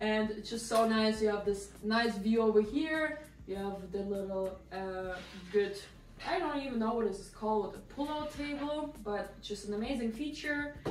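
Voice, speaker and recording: This woman speaks with a non-native accent at a fairly high pitch, with ordinary pitch variation and a moderate pace. Audible room echo and noticeable background noise are present. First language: not English. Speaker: lifestyle vlogger. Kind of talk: casual apartment tour. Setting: at home. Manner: casual, hesitant with fillers.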